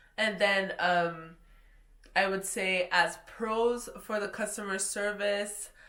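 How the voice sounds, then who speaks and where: In a French Canadian accent, the voice moves at a very slow pace with a bright, sharp tone and monotone, flat intonation. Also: woman, medium pitch for a woman. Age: young. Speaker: travel vlogger, hotel reviewer. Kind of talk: casual review monologue.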